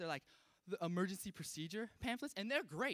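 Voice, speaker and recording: A man with an American accent speaks very fast in a raised, projected voice, high in pitch with a bright, sharp tone. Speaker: stand-up comedian. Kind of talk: stand-up comedy set to a live audience. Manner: casual, self-deprecating, conversational.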